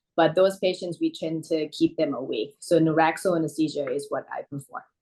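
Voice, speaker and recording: A woman's fairly low, dark, mellow voice with an American accent, fairly quick in pace and fairly even in intonation. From Thailand, then Queens, New York from age 14. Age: 30s. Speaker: anesthesiologist. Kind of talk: interview. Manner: hesitant, many fillers.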